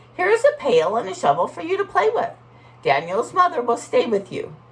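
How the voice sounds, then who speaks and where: A female-sounding voice performs a put-on character voice at a high pitch. The pace is fairly quick. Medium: read story. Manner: warm, patient, instructive.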